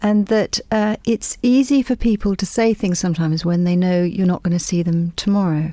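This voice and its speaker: A soft-spoken woman with an English accent talks at a moderate pace. Her tone is dark and mellow, her pitch is medium, and its variation is ordinary. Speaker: novelist. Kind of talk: radio interview. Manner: halting.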